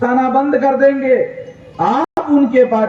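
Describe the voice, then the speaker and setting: A man's voice at an extremely high pitch. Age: 60s. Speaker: political activist leader. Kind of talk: political rally speech. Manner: loud, emphatic oratory.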